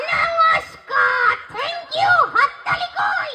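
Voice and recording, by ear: Shouting in a put-on character voice, a woman hits an extremely high pitch.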